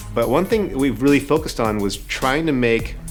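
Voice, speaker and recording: A man talking at a fairly quick pace with ordinary pitch variation, music in the background. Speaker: game director. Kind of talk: interview answer.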